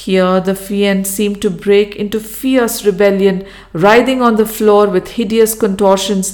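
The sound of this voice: Intonation stays fairly even in an unforced reading voice.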